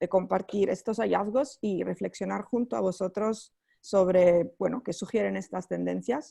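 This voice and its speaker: A woman with a non-native accent, at a fairly slow pace. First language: not Spanish (speaking Spanish). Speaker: NGO researcher. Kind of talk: webinar presentation. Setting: online webinar. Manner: halting, many fillers.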